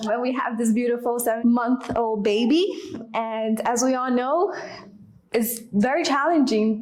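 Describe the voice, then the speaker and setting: At a fairly slow pace, a woman speaks in a high voice with ordinary pitch variation, with audible room echo and noticeable background noise. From New York City, Washington Heights. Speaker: stay-at-home mother. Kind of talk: casual chat.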